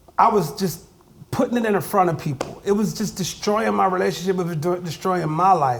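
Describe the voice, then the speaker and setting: Loud and animated, a man with an American accent talks at a moderate pace with a high pitch and lively intonation. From Ohio, Youngstown Southside. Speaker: hip hop artist. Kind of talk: interview. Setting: recording studio.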